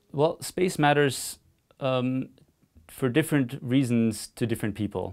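A man talks at a fairly slow pace with ordinary pitch variation. The background is quiet. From Austria. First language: German. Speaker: physicist and analog astronaut. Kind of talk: interview answers. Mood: calm, quietly enthusiastic. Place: studio.

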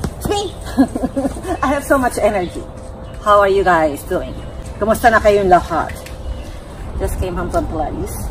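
A woman at a moderate pace, with long, frequent pauses and light background noise. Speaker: home gardener vlogger. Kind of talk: casual vlog chat. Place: garden. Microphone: camera far.

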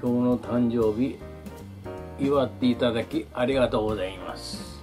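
Clear music plays in the background as a man speaks with a medium pitch and ordinary pitch variation. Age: 70s. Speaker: elderly vlogger. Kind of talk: casual talk to camera. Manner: polite, leisurely. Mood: calm, wry, reflective. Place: home room. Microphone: camera far.

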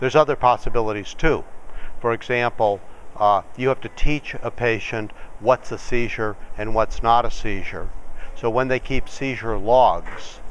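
A man speaks at a moderate pace. The sound is dry with no echo, and there is light background noise. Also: fairly even intonation. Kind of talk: interview answer. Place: studio.

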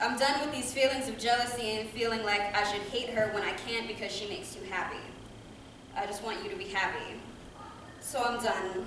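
A woman talks at a fairly quick pace with ordinary pitch variation. Noticeable background noise and audible room echo fill the recording. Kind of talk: poetry reading. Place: hall. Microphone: camera far.

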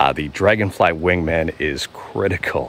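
A man speaks with a very deep, low pitch. The sound is dry with no echo, over light background noise. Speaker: nature walk vlogger. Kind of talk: casual vlog chat. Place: forest. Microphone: phone near.

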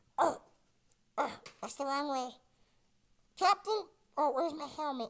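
A high-pitched, cartoonish character voice. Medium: puppet show. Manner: excitable, scatterbrained.

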